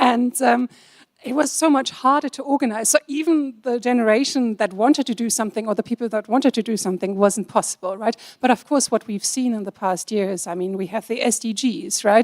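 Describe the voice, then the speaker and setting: A woman with a German accent, fairly high-pitched and fairly quick, in a dry, close sound with no echo. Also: ordinary pitch variation. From Germany. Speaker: compliance officer, panelist. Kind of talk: panel discussion.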